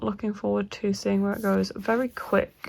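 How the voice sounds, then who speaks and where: Soft-spoken, a woman talks with a British accent. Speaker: book vlogger. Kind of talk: casual vlog talk. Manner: quiet, soft-spoken.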